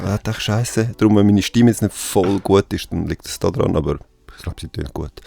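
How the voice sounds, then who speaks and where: A man with a Swiss accent speaks fairly quickly at a fairly low pitch. His tone is dark and mellow, and the sound is dry and close with no echo. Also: ordinary pitch variation. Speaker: podcast host. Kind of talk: casual interview.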